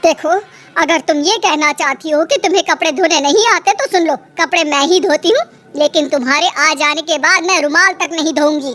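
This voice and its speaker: A woman's cartoonish character voice, extremely high-pitched, at a moderate pace. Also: very even loudness. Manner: sharp-tongued.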